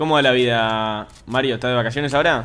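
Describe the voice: A man with an Argentine accent at a fast pace, his tone fairly bright. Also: medium pitch for a man, ordinary pitch variation. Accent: Rioplatense Argentine Spanish.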